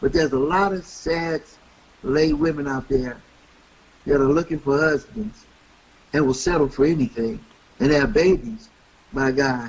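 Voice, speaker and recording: This man has a fairly high pitch with ordinary variation. He keeps a moderate pace but pauses long and often. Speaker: radio host. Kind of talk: interview answer.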